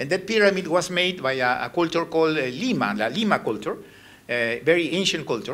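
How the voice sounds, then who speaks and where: With a non-native accent, a man talks at a fairly quick pace in a high, bright, sharp voice, his pitch swinging very widely against audible room echo. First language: Spanish. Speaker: ambassador giving a lecture. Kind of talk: lecture with slides. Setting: university lecture hall with audience. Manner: halting.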